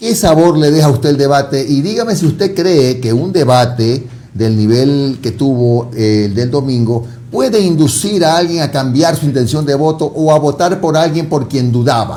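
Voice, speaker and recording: A man with a dark, mellow, somewhat breathy tone speaks at a fairly high pitch and moderate pace, with lively intonation and audible room echo. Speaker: TV interviewer. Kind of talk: interview.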